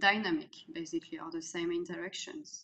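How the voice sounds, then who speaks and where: Someone with a French accent speaks at a fairly slow pace over light background noise. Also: woman. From France. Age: 30s. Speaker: executive coach. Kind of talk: interview. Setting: video call. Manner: hesitant, many fillers. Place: home room. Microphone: webcam.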